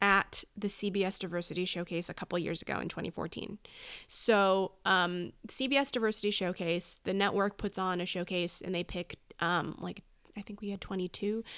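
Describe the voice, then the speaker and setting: This is a woman with an ordinary speaking voice. Her pitch sits in the medium range. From Southern California (Oak Park). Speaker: actress and comedy writer. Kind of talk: casual interview chat.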